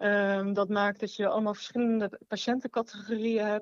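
In a plain, everyday voice, a woman speaks at a moderate pace and medium pitch with fairly even intonation, in a dry, close sound with no echo and a quiet background. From Rotterdam, Netherlands. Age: 20s. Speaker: nurse. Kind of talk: casual chat.

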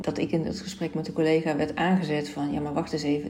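A woman with a very deep, low voice speaks at a fairly quick pace over noticeable background noise. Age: 40s. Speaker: podcast host and life coach. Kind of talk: solo podcast monologue.

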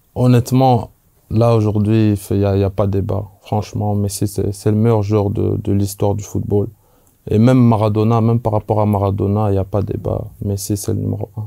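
A man's dark, mellow tone delivered in a monotone, flat intonation. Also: fairly low pitch for a man, moderate pace. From Belgium. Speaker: former professional footballer. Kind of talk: casual chat.

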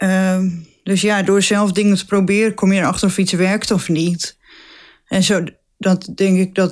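In a very clean recording with a silent background, a woman speaks at medium pitch. Her pace is fairly slow and her intonation monotone and flat. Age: 20s. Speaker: nurse. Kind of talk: casual interview.

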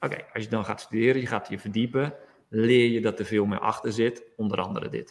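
A man at medium pitch, talking at a very fast pace with fairly even intonation. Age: 40s. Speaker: yoga teacher. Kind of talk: interview.

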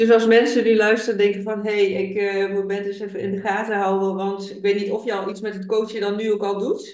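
Hardly any pauses break up this fairly quick speech. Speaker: podcast host. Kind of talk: interview.

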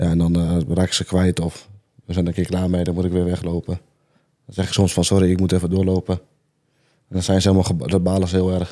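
A man with a very deep, low pitch and a dark, mellow tone speaks very fast in a flat monotone, broken by long, frequent pauses. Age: 20s. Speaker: viral festival dancer. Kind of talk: casual chat.

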